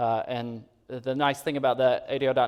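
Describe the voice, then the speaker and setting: Speaking fairly quickly, a man holds a medium pitch in a monotone, flat delivery. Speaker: conference speaker presenting software tools. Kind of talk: conference presentation. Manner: fast; frequent fillers and repetitions.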